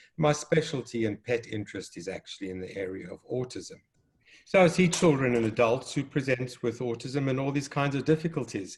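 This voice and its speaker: A man talks in a South African accent at medium pitch. His intonation is lively, and his loudness swings widely. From South Africa, Cape Town. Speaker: developmental pediatrician and children's author. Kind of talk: educational conversation.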